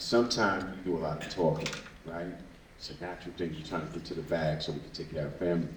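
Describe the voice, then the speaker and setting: A man's very deep, low voice at a very fast pace, with fairly even intonation, big swings in loudness, noticeable background noise and audible room echo. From Brooklyn, New York (Bed-Stuy). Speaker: activist, founder of an organization. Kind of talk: public talk.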